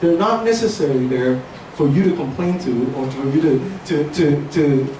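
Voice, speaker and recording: With noticeable background noise and audible room echo, a man at a fairly high pitch talks at a moderate pace with ordinary pitch variation. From Hong Kong, moved to Seattle at 13. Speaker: speaker sharing life story. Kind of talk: inspirational talk.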